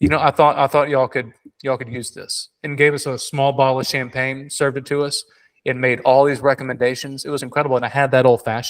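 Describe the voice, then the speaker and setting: Very fast speech with a Southern US accent. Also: man, fairly high pitch for a man. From South Carolina. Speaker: Disney beer and drinks expert. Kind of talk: casual chat. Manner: animated.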